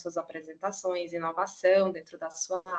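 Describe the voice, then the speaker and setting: A woman speaks with a Cearense accent. Her pace is fairly quick. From Ceará, Brazil. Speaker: professor. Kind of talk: lecture. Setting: video call.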